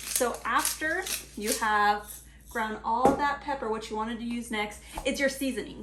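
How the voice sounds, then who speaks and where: Amid noticeable background noise and audible room echo, a woman speaks at a fairly high pitch and moderate pace with ordinary pitch variation. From Mexico. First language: Spanish. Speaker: cooking channel host. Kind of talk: cooking tutorial. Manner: casual, chatty.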